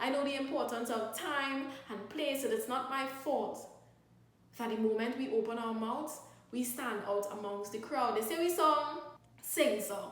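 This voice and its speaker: Speaking in a Trinidadian accent, a woman talks at a fairly slow pace with a high pitch and ordinary pitch variation. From Trinidad and Tobago. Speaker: spoken word poet. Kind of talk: spoken word poetry performance.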